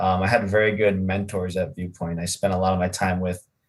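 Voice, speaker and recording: A man talks at a fairly quick pace. His voice sits at a fairly low pitch. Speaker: college student. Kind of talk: casual chat. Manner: loud.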